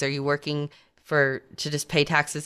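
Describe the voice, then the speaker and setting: Against a quiet background, a woman with a very deep, low pitch speaks at a moderate pace. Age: 40s. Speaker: financial advisor. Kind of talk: radio talk show.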